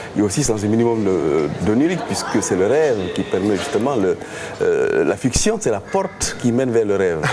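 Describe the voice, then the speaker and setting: A man talks with very wide pitch swings and very even loudness against noticeable background noise. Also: medium pitch for a man, moderate pace. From Guinea. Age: 60s. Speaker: novelist. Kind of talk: interview.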